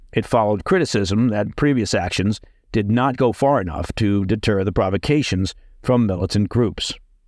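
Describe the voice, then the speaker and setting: This is a man with an ordinary speaking voice, fairly low in pitch, at a moderate pace and with ordinary pitch variation. The recording is very clean, with a silent background. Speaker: news podcast host. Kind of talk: scripted news bulletin reading, measured briefing on military strikes. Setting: studio. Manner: crisp, authoritative and formal, steadily paced with signposting like "Now,"; brisk, confident newsreader delivery of dense facts and acronyms.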